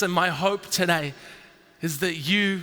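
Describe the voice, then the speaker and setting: A man with an Australian accent uses a raised, projected voice against noticeable background noise. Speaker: entrepreneur. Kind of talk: keynote speech. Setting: stage with audience.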